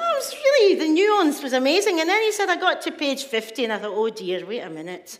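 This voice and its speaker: In a Scottish accent, a woman talks at a very fast pace with an extremely high pitch, very wide pitch swings, and hardly any pauses, over noticeable background noise. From Scotland, Glasgow. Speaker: poet and author. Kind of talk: storytelling talk. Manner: animated.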